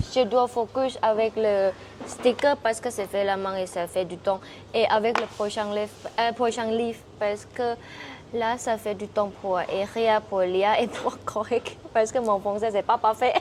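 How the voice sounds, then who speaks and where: A woman speaks with a Thai accent and fairly even intonation. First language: Thai (speaking French). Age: 20s. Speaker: Thai language teacher and author. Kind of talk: interview. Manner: halting.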